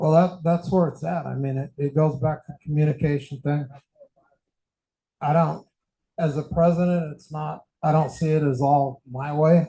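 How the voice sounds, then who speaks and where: A man with a fairly high pitch and a dark, mellow, somewhat breathy tone speaks at a moderate pace in a flat monotone. His loudness swings widely, and he leaves long, frequent pauses. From Mexican heritage. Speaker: candidate for association president. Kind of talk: meeting discussion. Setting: in-person meeting with audience.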